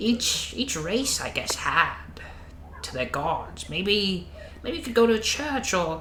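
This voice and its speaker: A man uses a put-on character voice with a high pitch. He speaks at a fairly slow pace over clear background noise. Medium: actual play. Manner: gentle, calls others "dear".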